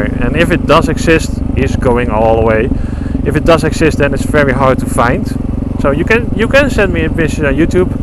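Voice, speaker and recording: A man talks at a fairly quick pace in a dry sound with no echo. Loud background noise runs behind him. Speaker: motorcycle vlogger. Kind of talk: casual vlog chat. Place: motorbike. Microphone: helmet.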